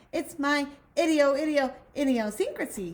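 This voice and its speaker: Putting on a character voice, a woman speaks at a high pitch with lively intonation. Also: moderate pace. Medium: read story. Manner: repeats every word several times.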